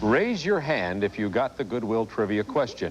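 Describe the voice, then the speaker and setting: A man of medium pitch talks with an American accent. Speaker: sports broadcaster. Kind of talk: sports broadcast presenting.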